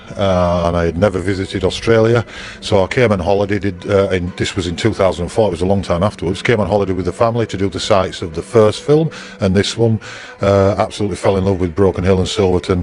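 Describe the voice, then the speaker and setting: In a northern English accent, a man speaks at a very fast pace with a very deep, low pitch. His intonation is fairly even, and noticeable background noise can be heard. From northern England, Bradford. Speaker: museum owner. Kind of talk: interview. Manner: halting.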